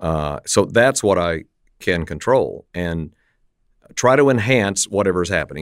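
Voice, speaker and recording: Over a very clean recording with a silent background, a man with an American accent talks at a moderate pace with a fairly low pitch and lively intonation. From West Texas, Lubbock. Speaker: radio play-by-play announcer. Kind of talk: interview. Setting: studio. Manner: loose, relaxed.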